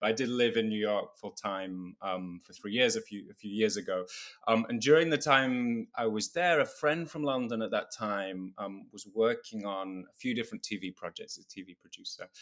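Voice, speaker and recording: A man talks at a medium pitch with ordinary pitch variation and big swings in loudness, with hardly any pauses. The recording is very clean, with a silent background. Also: moderate pace. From UK. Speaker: musical theatre composer. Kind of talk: podcast interview.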